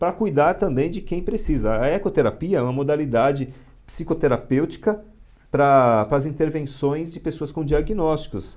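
Speaking in an unremarkable speaking voice, a man keeps to a moderate pace, with a fairly high pitch that varies in an ordinary way. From São Paulo, east zone (São Miguel Paulista). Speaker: psychologist and military police officer. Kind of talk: interview on a live podcast.

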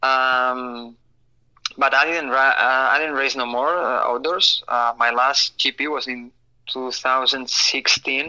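A bright, sharp tone with a Spanish accent, a very slow pace and monotone, flat intonation. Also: man, medium pitch for a man. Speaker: supercross racer. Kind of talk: casual interview. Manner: halting, many fillers and repeats.

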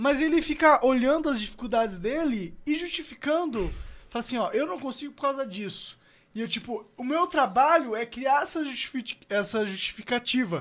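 At a moderate pace, a man speaks in an extremely high pitch with very wide pitch swings. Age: 20s. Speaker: podcast host. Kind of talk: casual chat; sales pitch.

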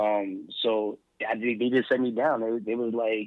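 A man with a medium pitch, an American accent, and monotone, flat intonation. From US Northeast, Philadelphia. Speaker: educator and mentor. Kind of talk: interview conversation. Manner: fast talker.

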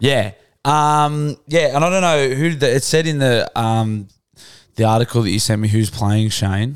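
In a very clean recording with a silent background, a medium-pitched man with an Australian accent talks at a fairly slow pace with ordinary pitch variation. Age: 30s. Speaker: podcast host. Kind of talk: casual chat. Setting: studio.

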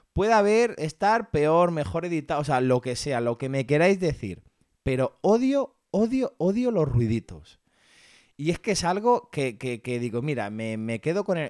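A man speaks at a fairly slow pace in a fairly high voice, his pitch swinging very widely, in a very clean recording with a silent background and a dry, close sound with no echo. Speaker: podcast host. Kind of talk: product review monologue.

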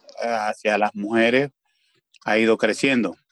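The delivery comes at a very slow pace with fairly even intonation. The sound is dry and close, with no echo. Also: man. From Venezuela. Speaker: community leader. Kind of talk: panel discussion.

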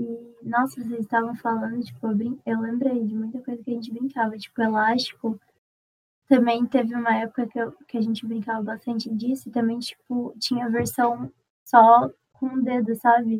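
The voice keeps a moderate pace and a monotone, flat intonation throughout. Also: woman, fairly high pitch for a woman. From Uberlândia, Minas Gerais, Brazil. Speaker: podcast guest. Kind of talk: casual chat.

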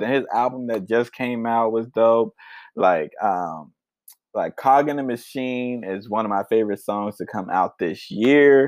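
A man with an ordinary speaking voice talks at a fairly slow pace, medium in pitch with ordinary pitch variation. The sound is dry and close with no echo, over a quiet background. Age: 20s. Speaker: music podcast host. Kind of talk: casual solo podcast talk.

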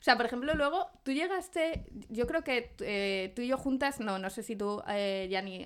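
At a moderate pace, a woman with a fairly high pitch speaks on a very clean recording with a silent background. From Zamora, Spain. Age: 30s. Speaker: podcast co-host. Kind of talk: casual chat.

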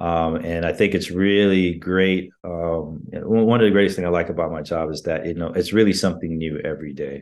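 Very deep and low in pitch, a man speaks at a fairly quick pace with fairly even intonation. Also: hardly any pauses. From Jamaica, then US (Florida). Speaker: NASA safety engineer. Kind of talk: interview. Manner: hesitant, many fillers.

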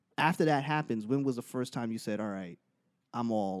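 A man's normal speaking voice at a medium pitch, lively in intonation and fairly quick, on a very clean recording with a silent background. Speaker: podcast host. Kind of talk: casual interview chat. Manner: casual, slangy, upbeat.

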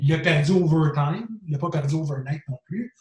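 Fairly high pitch from a man, somewhat breathy, at a moderate pace. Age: 40s. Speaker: bodybuilding expert. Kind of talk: casual interview.

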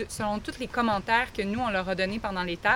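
A woman speaks in a Quebec accent. Her pitch varies in an ordinary way. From Quebec, Lac-Mégantic region. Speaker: teacher. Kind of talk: interview.

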